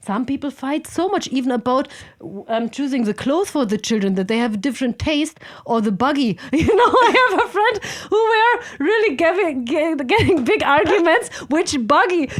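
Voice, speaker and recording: A woman speaks with a German accent at a moderate pace. Her high pitch makes very wide swings over noticeable background noise. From Germany, Berlin. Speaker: podcast guest, software consultant and climber. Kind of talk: casual chat.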